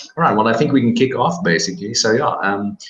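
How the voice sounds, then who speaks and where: A man speaks at a fairly quick pace with a South African accent. His intonation is lively. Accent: Afrikaans South African. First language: Afrikaans. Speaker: podcast host. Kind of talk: interview.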